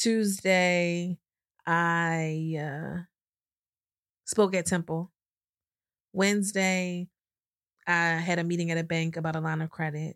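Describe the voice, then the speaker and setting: Speaking very slowly with long, frequent pauses, a woman uses a fairly low pitch and monotone, flat intonation on a very clean recording with a silent background and dry, close sound with no echo. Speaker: podcast host and financial services business owner. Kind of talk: casual chat.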